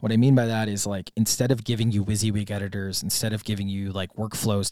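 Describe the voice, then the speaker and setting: A man with an American accent speaks in an unremarkable speaking voice at a fairly quick pace, with a fairly low pitch and fairly even intonation. The recording is very clean, with a silent background. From US Midwest, Wisconsin. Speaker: startup founder. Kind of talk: interview.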